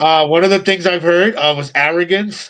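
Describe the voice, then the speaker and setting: Here a man talks with an American accent. His voice is high in pitch. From New York. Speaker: pro wrestler. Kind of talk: casual chat. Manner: a little aggressive way of talking; hesitant, many fillers.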